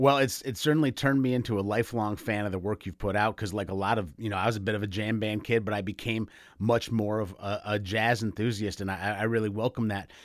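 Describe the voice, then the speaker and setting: At a very fast pace with hardly any pauses, a man speaks in a fairly low pitch with fairly even intonation. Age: 40s. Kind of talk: radio interview. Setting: video call.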